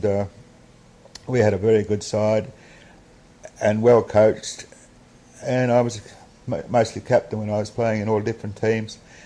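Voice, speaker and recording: A man talks in a fairly low pitch with monotone, flat intonation and long, frequent pauses. Noticeable background noise runs behind him. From Australia. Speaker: retired cricketer. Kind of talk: oral history interview answer.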